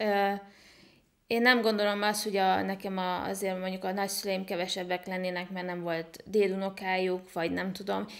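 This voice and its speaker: Over a quiet background, a woman talks at a moderate pace with monotone, flat intonation. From Hungary (small town). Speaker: online entrepreneur and IT consultant; podcast guest. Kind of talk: interview. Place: home room. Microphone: studio mic.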